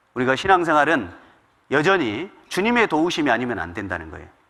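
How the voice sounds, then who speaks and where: Bright and sharp in tone, a man's voice carries vocal fry and swings very widely in pitch. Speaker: pastor. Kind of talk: sermon. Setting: church. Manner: fast; occasional stumbles.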